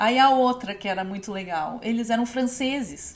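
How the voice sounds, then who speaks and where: An unremarkable speaking voice belongs to a woman, pitched fairly high. Her intonation is lively. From Novo Hamburgo, Rio Grande do Sul, Brazil. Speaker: textile designer and podcast host. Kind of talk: casual podcast talk.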